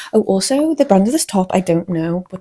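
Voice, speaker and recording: A woman speaks with a Scouse accent. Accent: mild Scouse (Wirral). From northern England, the Wirral (Merseyside). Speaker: fashion vlogger. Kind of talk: casual chat. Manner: animated.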